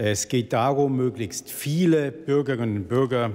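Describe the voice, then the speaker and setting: With ordinary pitch variation, the words come at a fairly slow pace. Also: man. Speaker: government minister. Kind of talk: formal prepared statement. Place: hall. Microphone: podium.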